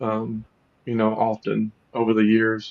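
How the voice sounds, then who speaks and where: A man speaks with a Southern US accent. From US South, Louisiana. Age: 50s. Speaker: podcast host. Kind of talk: interview conversation.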